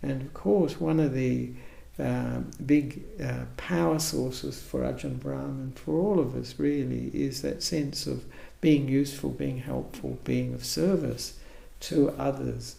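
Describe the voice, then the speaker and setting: With an Australian accent, a man speaks fairly slowly in a very deep, low pitch with very wide pitch swings, and audible room echo surrounds him. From Australia, Perth. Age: 70s. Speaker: Buddhist monk, abbot. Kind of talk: interview. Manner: halting.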